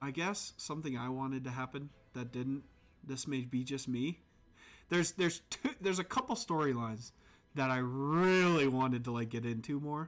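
At a moderate pace and medium pitch, a man talks with ordinary pitch variation in an unremarkable speaking voice, captured in a very clean recording with a silent background. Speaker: podcast host. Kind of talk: casual live-play podcast chat. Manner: casual, laughing, profanity.

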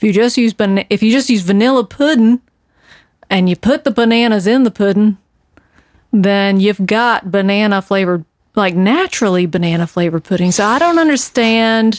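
Recorded very cleanly against a silent background, a woman with a Southern US accent speaks at a medium pitch and moderate pace, her loudness very even, her pitch varying in an ordinary way, and the sound dry and close with no echo. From US South (North Carolina). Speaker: podcast co-host. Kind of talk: casual chat.

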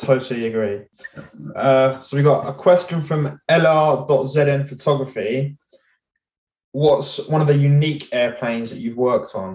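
A man with a British accent speaks at a fairly slow pace. His voice is fairly high, with ordinary pitch variation. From UK. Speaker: podcast host. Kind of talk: casual chat.

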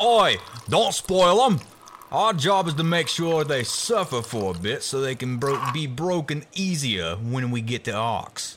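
In a put-on character voice, a man speaks fairly slowly and gruffly, his fairly high pitch swinging very widely. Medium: audio drama. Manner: gruff, bossy, cruel.

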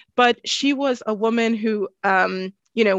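A woman with an American accent speaks at a very slow pace in a fairly high voice with ordinary pitch variation. The sound is dry and close with no echo, over a quiet background. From US West Coast (Richmond, California, Bay Area). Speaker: history lecturer. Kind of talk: interview.

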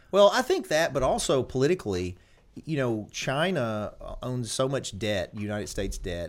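On a very clean recording with a silent background, a man talks at a moderate pace with very wide pitch swings. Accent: Southern US. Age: 40s. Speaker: lawyer and podcast host. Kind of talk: casual interview chat.

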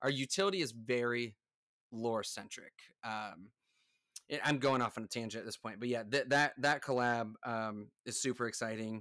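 A man speaks in an American accent with a bright, sharp tone and ordinary pitch variation. The recording is very clean and the background silent. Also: medium pitch for a man, moderate pace. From United States. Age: 30s. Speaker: NFT project founder, entrepreneur. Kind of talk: casual interview. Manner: hesitant, many fillers.

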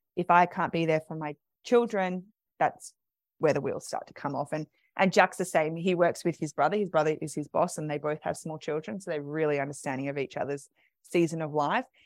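With an Australian accent, the speaker talks fairly quickly with ordinary pitch variation and big swings in loudness, in a dry, close sound with no echo. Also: woman, very deep, low pitch for a woman. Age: 30s. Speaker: doula. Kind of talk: interview.

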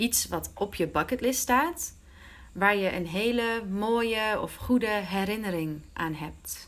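Her medium-pitched voice moves at a very slow pace, yet this woman keeps her intonation lively. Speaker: Dutch teacher and podcast host. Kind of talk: language-learning interview. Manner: mixes Dutch and English.

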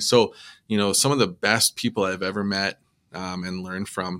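In a very clean recording with a silent background, a man speaks at a moderate pace with a western Canadian accent. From Edmonton, Alberta, Canada (Métis). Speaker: musician and public service worker, former firefighter. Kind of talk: casual interview. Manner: hesitant, many fillers.

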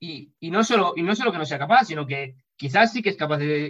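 The man has an unremarkable speaking voice, fairly high in pitch, talking at a fairly quick pace with lively intonation. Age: 20s. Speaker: powerlifter. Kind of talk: interview.

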